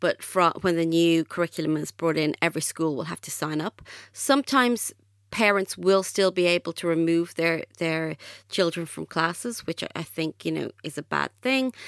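A woman speaks with an Irish accent at a fairly low pitch, with ordinary pitch variation and a moderate pace. The recording is very clean with a silent background, and the sound is dry and close with no echo. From Ireland. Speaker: author. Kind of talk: podcast interview.

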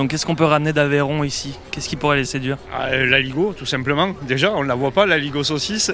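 Noticeable background noise sits under a man whose fairly high voice moves at a fairly quick pace. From southern France. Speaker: restaurant owner on holiday. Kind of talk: street interview.

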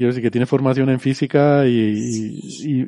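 With a dark, mellow tone, a man speaks with ordinary pitch variation. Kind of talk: casual chat.

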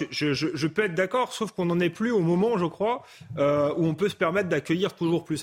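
A man's unremarkable speaking voice, fairly quick in pace and lively in intonation. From France, Paris suburbs (Seine-Saint-Denis). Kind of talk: debate.

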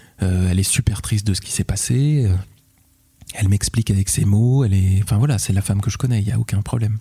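A man with a fairly low pitch talks at a very fast pace with ordinary pitch variation. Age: 30s. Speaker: father sharing his story. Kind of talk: personal testimony interview. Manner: halting, repeats words; articulate storyteller.

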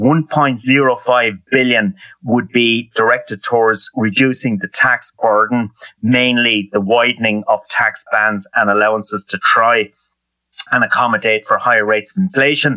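A man with an Irish accent talks at a fairly slow pace, recorded with a dry, close sound and no echo. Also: medium pitch for a man, ordinary pitch variation. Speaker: economist. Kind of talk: interview.

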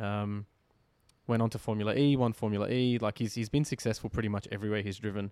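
In a dark, mellow tone and fairly low pitch, a man speaks at a very fast pace with fairly even intonation. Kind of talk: casual chat.

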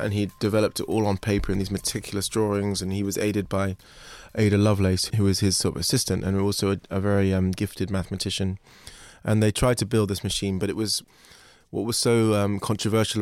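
Over a silent background in a very clean recording, a man with a London accent talks at a very fast pace in a fairly low pitch and a monotone, flat intonation. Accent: southern English, London. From London (Kentish Town). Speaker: artist, sculptor. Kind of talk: interview.

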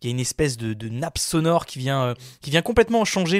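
A man's very fast speech with lively intonation, dry and close with no echo, on a very clean recording with a silent background. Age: 20s. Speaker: podcast film columnist. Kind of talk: casual chat.

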